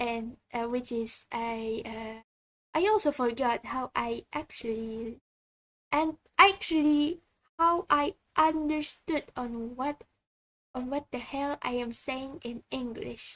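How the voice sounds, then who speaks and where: Very slow speech from a woman at a high pitch, dry and close with no echo, on a very clean recording with a silent background. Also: ordinary pitch variation. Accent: Indonesian. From Indonesia. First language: Indonesian. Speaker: vtuber streamer. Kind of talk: casual livestream chat. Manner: halting, many fillers and restarts.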